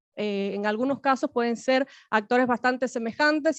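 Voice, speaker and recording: A woman speaks at a moderate pace and high pitch with ordinary pitch variation, in a dry, close sound with no echo over a quiet background. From Cuba. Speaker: academic panelist. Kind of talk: academic panel talk. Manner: halting, many fillers.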